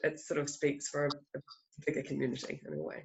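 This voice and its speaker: A woman's voice with a New Zealand accent. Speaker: filmmaker. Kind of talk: festival Q&A interview. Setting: video call.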